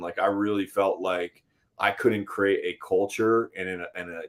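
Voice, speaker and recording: An American accent from a male speaker. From upstate New York. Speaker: real estate agent. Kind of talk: casual chat. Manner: loud.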